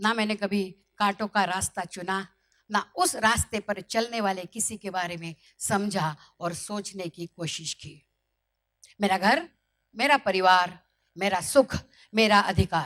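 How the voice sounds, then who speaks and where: With a dry, close sound and no echo, a woman speaks at a medium pitch with ordinary pitch variation and big swings in loudness. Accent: Marathi. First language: Marathi (speaking Hindi). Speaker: motivational speaker. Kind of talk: motivational speech.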